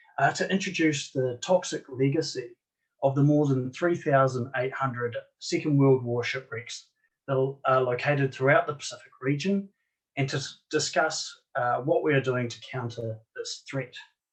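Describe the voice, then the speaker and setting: A somewhat breathy voice with a New Zealand accent, ordinary pitch variation and a moderate pace. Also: man, fairly high pitch for a man. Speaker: marine archaeologist. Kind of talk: conference presentation. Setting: online conference.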